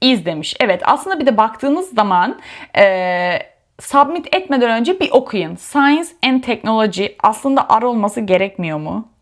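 A woman's fairly high-pitched voice with very wide pitch swings. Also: moderate pace. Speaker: YouTuber sharing exam prep tips. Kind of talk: tutorial. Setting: home study room.

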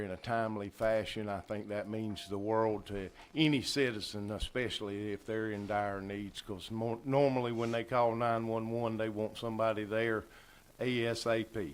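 This man speaks in a fairly low pitch with fairly even intonation. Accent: Southern US. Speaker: county commission chair. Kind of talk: public meeting remarks. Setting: county commission meeting room. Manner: slow.

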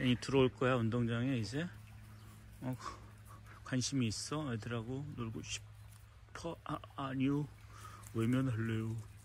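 At a very slow pace with long, frequent pauses, a man at medium pitch speaks somewhat breathily with fairly even intonation, in a dry sound with no echo over light background noise. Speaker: dog trainer. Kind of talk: casual video vlog narration to camera. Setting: outdoors at a dog school. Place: garden. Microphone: phone near.

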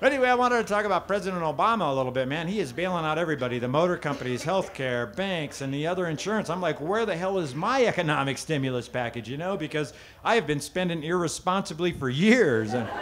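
A man talks at a very fast pace with lively intonation. Light background noise can be heard. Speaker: stand-up comedian. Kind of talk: stand-up comedy routine. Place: stage.

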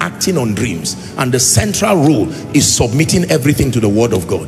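With clear music in the background, a man talks at a moderate pace. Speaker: preacher. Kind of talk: sermon. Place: hall. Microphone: handheld.

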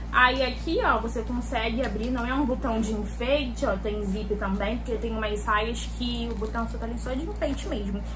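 Against noticeable background noise, a woman talks at a moderate pace with hardly any pauses. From Rio de Janeiro state, Brazil (Duque de Caxias). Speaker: lifestyle YouTuber. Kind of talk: casual shopping haul vlog. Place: home room. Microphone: phone near.

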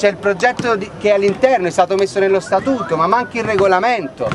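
Over clear background noise, a man speaks at a high pitch with lively intonation.

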